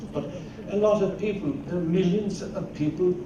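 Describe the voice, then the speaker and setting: A man's high voice with an Irish accent, with audible room echo and noticeable background noise. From Ireland. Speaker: agricultural scientist. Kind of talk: keynote lecture. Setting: conference stage with audience. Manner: halting, with repeated words.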